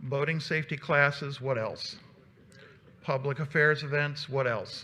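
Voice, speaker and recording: A man's fairly high, monotone, flat voice at a fairly slow pace, with audible room echo. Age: 60s. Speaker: volunteer organization leader giving a presentation. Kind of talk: conference presentation. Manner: halting, many fillers.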